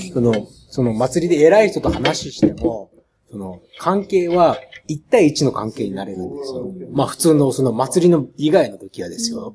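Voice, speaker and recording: With very wide pitch swings and big swings in loudness, a man talks at a moderate pace in a fairly high pitch. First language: Japanese (speaking French). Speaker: documentary filmmaker. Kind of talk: interview. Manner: halting.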